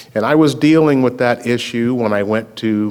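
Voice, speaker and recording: Here a man with an American accent and a plain, everyday voice talks at a moderate pace with ordinary pitch variation. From US South, Memphis, Tennessee. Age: 60s. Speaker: attorney and racial justice activist. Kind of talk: public talk at a screening Q&A.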